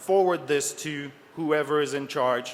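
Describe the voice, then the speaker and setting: A man speaks in a French accent. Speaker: security researcher. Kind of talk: conference talk. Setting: stage with audience.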